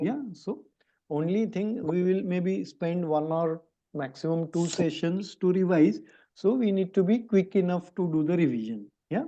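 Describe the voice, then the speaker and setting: A man talks with a high pitch and a dark, mellow tone. His intonation is lively and his pace fairly slow. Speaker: math teacher. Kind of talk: online class discussion.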